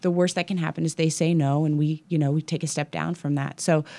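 A woman's very deep, low voice in an American accent, very fast and monotone, over a silent background on a very clean recording. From Kansas City, US Midwest. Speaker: gym owner and fitness coach. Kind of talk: interview. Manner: halting.

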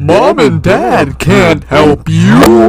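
A man puts on a raspy character voice. Clear background noise runs behind him. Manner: menacing, taunting.

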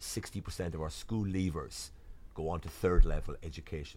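The speaker talks at a fairly quick pace in a Waterford Irish accent. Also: man. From Ireland, Waterford. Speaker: diplomat. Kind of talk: interview. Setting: studio.

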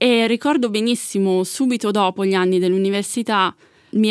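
A woman with an unremarkable speaking voice talks at a fairly quick pace with ordinary pitch variation, the sound dry and close with no echo, in a very clean recording with a silent background. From Italy, Milan. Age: 30s. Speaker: asexual activist. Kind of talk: interview.

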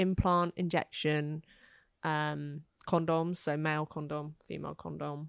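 A woman with a British accent talks at a fairly slow pace in a very deep, low voice with flat, monotone intonation. The recording is very clean with a silent background and a dry, close sound with no echo. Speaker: contraception platform founder. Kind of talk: casual interview chat.

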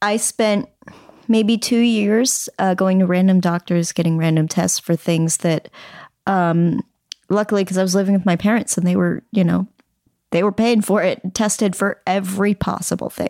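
Female speech in a dark, mellow tone, fairly even intonation and very even loudness, at a moderate pace with a dry, close sound and no echo. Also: medium pitch for a woman. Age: 30s. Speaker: comedian and writer. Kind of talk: casual chat.

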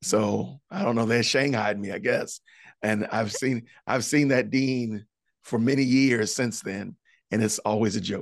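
A man's plain, everyday voice at a medium pitch, with an American accent, a moderate pace and ordinary pitch variation over a quiet background. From Illinois, Chicago suburbs. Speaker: podcaster and former school teacher. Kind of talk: testimony interview.

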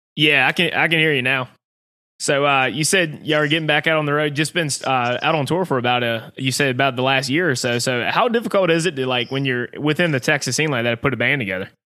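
With a Southern US accent, a man speaks at a very fast pace in a fairly high pitch, his loudness very even and his pitch variation ordinary, on a very clean recording with a silent background. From US Southeast. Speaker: podcast host. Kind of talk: casual chat.

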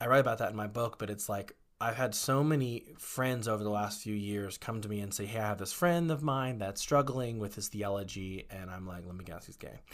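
On a very clean recording with a silent background, a man with an American accent and an ordinary speaking voice talks at a fairly quick pace, fairly low in pitch with ordinary pitch variation. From Texas, Waco. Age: 30s. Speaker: former chaplain and actor. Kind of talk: interview conversation.

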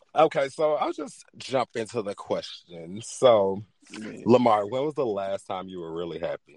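In a dry, close sound with no echo, a man of medium pitch speaks at a moderate pace with hardly any pauses, big swings in loudness and lively intonation. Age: 20s. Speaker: podcast host. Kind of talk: casual chat. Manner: animated.

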